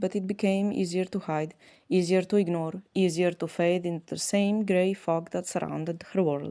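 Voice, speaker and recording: On a very clean recording with a silent background, a voice with an Eastern European accent speaks with a dark, mellow tone and fairly even intonation. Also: woman. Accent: Slavic. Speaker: audiobook narrator. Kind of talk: audiobook reading. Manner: slow.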